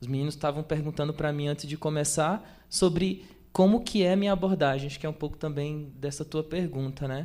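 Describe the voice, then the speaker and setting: Speaking at a fairly quick pace with hardly any pauses, a man uses a fairly high pitch, a dark, mellow tone and fairly even intonation. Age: 20s. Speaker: photographer. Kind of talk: talk at exhibition with audience Q&A. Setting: stage with audience, microphone. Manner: hesitant, many fillers.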